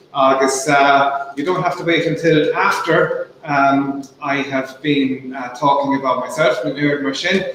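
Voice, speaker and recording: A man with a Munster accent speaks at a fairly slow pace with fairly even intonation. Noticeable background noise and audible room echo fill the recording. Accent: Irish, Munster. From Ireland, Waterford Gaeltacht. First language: Irish. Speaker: author. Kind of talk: talk to students. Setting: online video call. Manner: hesitant, many fillers.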